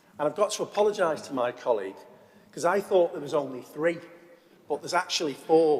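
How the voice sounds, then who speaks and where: A man talks at a fairly quick pace in a fairly high pitch with lively intonation. Noticeable background noise sits behind him. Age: 50s. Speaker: deputy council leader. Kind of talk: council debate speech. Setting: council chamber.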